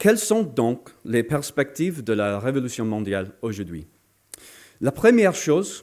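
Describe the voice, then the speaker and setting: A man with a medium-pitched voice talks at a fairly slow pace, his pitch swinging very widely. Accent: non-native. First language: not French (speaking French). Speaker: political speaker. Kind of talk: political lecture. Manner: halting, many hesitations.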